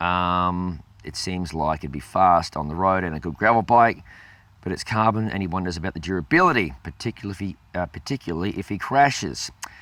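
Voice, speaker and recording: A man with an Australian accent speaks at a fairly quick pace in a very deep, low voice with ordinary pitch variation and a bright, sharp tone. The recording is very clean, with a silent background. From South Australia, Adelaide. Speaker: cycling channel host. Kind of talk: Q&A video show. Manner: hesitant, many fillers.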